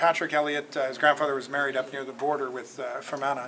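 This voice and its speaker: A loud man is heard with audible room echo and crowd noise in the background. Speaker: company executive. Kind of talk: public Q&A. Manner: halting.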